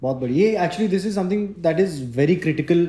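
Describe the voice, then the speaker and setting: A man with a fairly high pitch and a dark, mellow tone. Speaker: podcast host. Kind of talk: interview.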